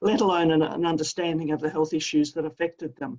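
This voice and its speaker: This is a woman talking with an Australian accent. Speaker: professor of adolescent health. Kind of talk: interview.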